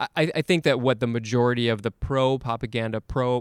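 A man with a medium pitch at a moderate pace, in a dry, close sound with no echo, on a very clean recording with a silent background. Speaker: podcast host. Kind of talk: casual conversational interview. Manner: hesitant, filler-heavy speech.

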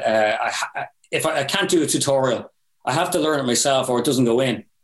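With an Irish accent, a man of medium pitch speaks at a fairly quick pace. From Ireland. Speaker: metal band vocalist and guitarist. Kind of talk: casual podcast interview.

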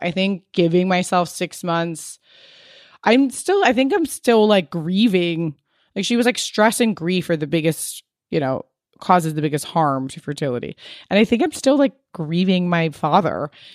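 On a very clean recording with a silent background, a woman with an ordinary speaking voice talks at a moderate pace in a fairly low pitch with lively intonation. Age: 30s. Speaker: beauty brand founder and podcaster. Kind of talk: casual chat.

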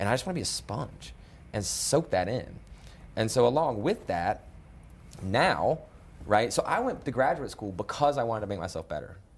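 Somewhat breathy and at a medium pitch, a man's voice makes very wide pitch swings, broken by long, frequent pauses. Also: moderate pace. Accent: American. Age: 30s. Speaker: nonprofit executive director. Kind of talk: interview.

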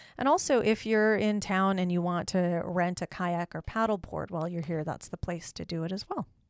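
Here a woman has a plain, everyday voice, fairly low in pitch with ordinary variation. She moves at a moderate pace with hardly any pauses, in dry, close sound with no echo. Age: 30s. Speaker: tourism podcast co-host. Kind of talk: casual chat.

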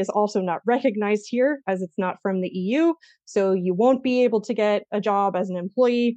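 A woman's fairly high voice in an American accent, ordinary pitch variation, moderate pace. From US, Eastern Oregon small town. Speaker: marketing agency founder, SEO expert. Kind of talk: interview.

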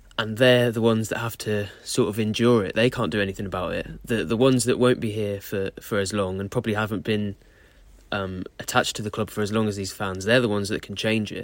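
Speaking at a very fast pace in a southern English accent, a man keeps a fairly low, monotone, flat delivery over a very clean recording with a silent background. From Southeast England. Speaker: football correspondent. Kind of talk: casual chat.

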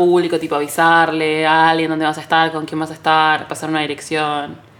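This woman has a very deep, low voice and a Rioplatense accent, and she talks at a very fast pace. Noticeable background noise runs under her speech. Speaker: podcast co-host, content creator and photographer. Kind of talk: casual chat. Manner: animated.

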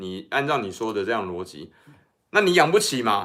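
A man of medium pitch swings very widely up and down while holding a moderate pace. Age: middle-aged. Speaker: political commentator. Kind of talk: casual chat. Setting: livestream.

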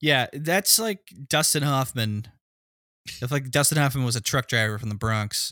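A man with a plain, everyday voice talks at a moderate pace and medium pitch, his intonation lively. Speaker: podcast co-host.

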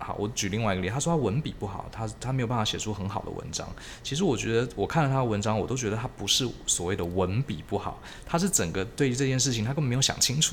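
This man speaks very fast, his voice somewhat breathy. His intonation is lively. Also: medium pitch for a man. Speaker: podcast host. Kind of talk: casual interview chat.

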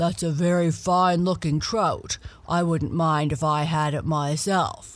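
A put-on character voice, rumbling and middle-pitched, at a fairly slow pace. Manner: sly, gruff, menacing.

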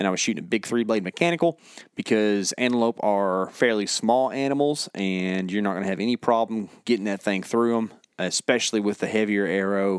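With a dry, close sound and no echo, a man talks at a fairly quick pace in a normal speaking voice, fairly low in pitch with ordinary pitch variation. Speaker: hunting podcast co-host. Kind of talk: casual chat. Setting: studio.

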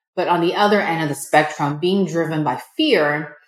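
A woman speaks with a General American accent in a normal speaking voice. Her pitch is fairly low and her pace moderate. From United States. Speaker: entrepreneur. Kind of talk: interview.

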